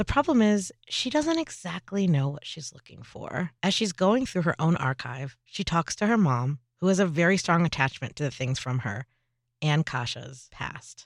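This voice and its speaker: The upbeat voice moves at a moderate pace on a very clean recording with a silent background. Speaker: radio producer host. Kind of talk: radio host introduction. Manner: friendly, conversational, upbeat.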